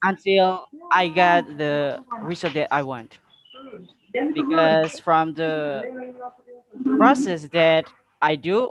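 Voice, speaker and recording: Speaking with an Indonesian accent, a man uses a high pitch and lively intonation. His pace is very slow, with long, frequent pauses. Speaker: public speaking contestant. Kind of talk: impromptu speech answer. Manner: halting, hesitant.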